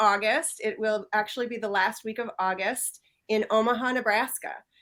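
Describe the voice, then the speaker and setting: With a Midwestern US accent, a woman speaks at a moderate pace in a bright, sharp tone with lively intonation. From US Midwest. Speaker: professional association chair. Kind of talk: interview.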